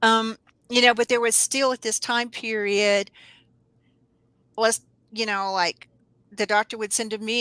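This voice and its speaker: Heard on a very clean recording with a silent background and a dry, close sound with no echo, a woman with a Southern US accent talks at a moderate pace in a medium pitch, with a bright, sharp tone and ordinary pitch variation. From US South, North Alabama. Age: 60s. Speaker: herbalist. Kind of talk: interview.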